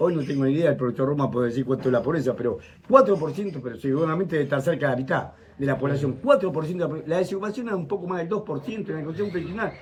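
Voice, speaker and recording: Lively intonation comes through at a very fast pace. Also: man, fairly high pitch for a man. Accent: Argentine. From Argentina (interior province). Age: 70s. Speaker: university professor, economist. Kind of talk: talk to audience at breakfast. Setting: breakfast talk with audience. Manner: animated.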